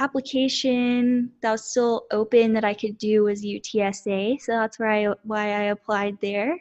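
With an American accent, a woman speaks at a fairly slow pace in a fairly high pitch and a normal speaking voice. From Central Texas, US. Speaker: counselor, podcast host. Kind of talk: casual chat.

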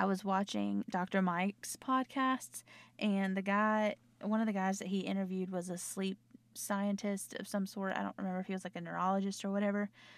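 A woman at a medium pitch with a Southern US accent, fairly quick and monotone with flat intonation, in a very clean recording with a silent background. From US South. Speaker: podcast host. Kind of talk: casual chat. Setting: home recording. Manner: chatty.

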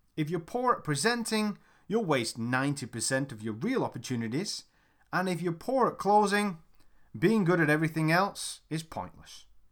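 Recorded very cleanly against a silent background, a man with a fairly high pitch speaks at a moderate pace with very wide pitch swings. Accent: British. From UK. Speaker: sales trainer. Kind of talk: audiobook narration.

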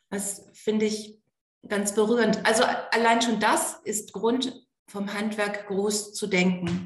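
Audible room echo surrounds a woman with a fairly high pitch. She speaks at a very slow pace with fairly even intonation. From Germany, East Frisia. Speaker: pastor. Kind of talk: interview.

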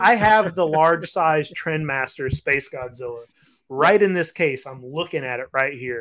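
The loudness swings widely while the speech moves at a fairly slow pace. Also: man, fairly high pitch for a man, ordinary pitch variation. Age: 30s. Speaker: podcast co-host, toy collector. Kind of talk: casual chat. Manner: animated.

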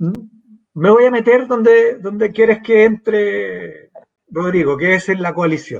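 The pitch of this man's voice is high and varies in an ordinary way. His pace is very slow. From Chile, San Miguel (Santiago). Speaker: pollster and academic. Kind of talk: political interview.

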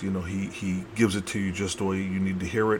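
Noticeable background noise beneath speech with an American accent. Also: man. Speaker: podcast host. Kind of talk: casual podcast intro and commentary. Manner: casual, enthusiastic, filler-heavy.

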